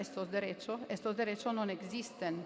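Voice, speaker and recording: Speaking in an Italian accent, a woman keeps a moderate pace with ordinary pitch variation. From Italy. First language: Italian (speaking Spanish). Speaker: law professor. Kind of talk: academic panel talk. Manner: hesitant, with fillers.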